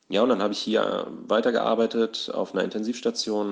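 In a quiet background, a man with a plain, everyday voice speaks at a medium pitch and a moderate pace. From southern Hesse, Germany. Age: 20s. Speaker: nurse and amateur actor. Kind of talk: casual monologue. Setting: voice memo recording.

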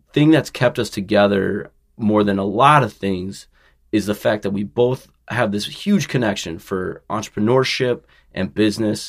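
Recorded very cleanly with a silent background, a man with an ordinary speaking voice talks at a moderate pace with a fairly low pitch and ordinary pitch variation. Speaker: podcast host. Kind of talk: podcast interview, casual chat.

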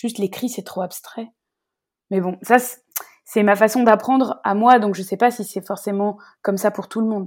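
In a very clean recording with a silent background, a woman speaks with long, frequent pauses. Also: medium pitch for a woman, moderate pace. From France, Rhône-Alpes region. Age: 30s. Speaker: tour guide and storyteller. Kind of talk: casual interview. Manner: talkative.

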